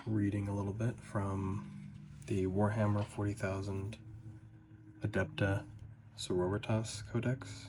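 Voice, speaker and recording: The voice has vocal fry and moves at a very slow pace. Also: man. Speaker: ASMR / lore content creator. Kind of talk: ASMR lore read and ramble. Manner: soft-spoken.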